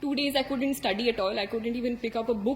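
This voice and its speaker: The speaker has an Indian accent. The intonation stays fairly even. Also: woman. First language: Hindi. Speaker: civil services exam topper. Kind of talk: motivational talk. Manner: hesitant with many fillers.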